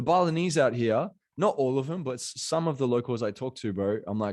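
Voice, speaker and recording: A medium-pitched man with an Australian accent, very fast delivery and lively intonation, against a quiet background. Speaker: motivational coach. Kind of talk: podcast interview. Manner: animated.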